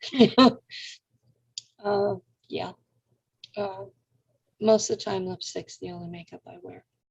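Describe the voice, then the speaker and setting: Someone with an American accent speaks at a fairly slow pace, somewhat breathy, with fairly even intonation and big swings in loudness. Long, frequent pauses break up the speech, and the sound is dry and close with no echo. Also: woman, medium pitch for a woman. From California. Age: 60s. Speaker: radio host. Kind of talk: interview conversation.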